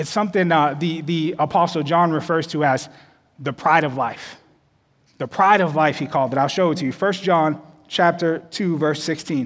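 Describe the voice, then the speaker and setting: Talking at a moderate pace, a man with a fairly high pitch has a normal speaking voice and fairly even intonation. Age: 30s. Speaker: associate pastor. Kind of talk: sermon. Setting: church service with live audience and online stream.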